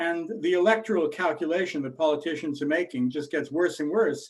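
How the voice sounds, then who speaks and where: A man with an American accent talks at a moderate pace. It is an ordinary speaking voice, fairly high in pitch. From United States. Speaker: investment bank chief executive, webinar host. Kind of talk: webinar Q&A.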